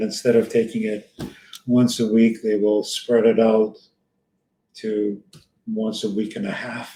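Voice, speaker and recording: Speaking at a fairly slow pace, a man has a medium pitch and a dark, mellow tone. His intonation stays monotone and flat. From Greece. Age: 60s. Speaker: environmental consultant and content creator. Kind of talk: casual interview chat.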